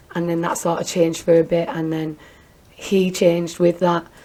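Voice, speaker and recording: A woman's flat, monotone voice over noticeable background noise. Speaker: domestic abuse survivor and business owner. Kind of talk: interview testimony.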